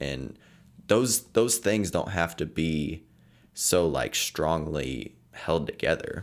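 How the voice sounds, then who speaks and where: In a very clean recording with a silent background, a man with a very deep, low pitch and vocal fry speaks at a very slow pace with lively intonation. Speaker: podcast host. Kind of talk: casual chat.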